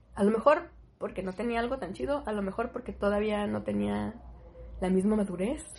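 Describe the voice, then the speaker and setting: Amid noticeable background noise, a woman speaks at a fairly quick pace with lively intonation. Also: medium pitch for a woman. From Mexico, Sonora (Hermosillo). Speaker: podcast co-host. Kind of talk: casual chat.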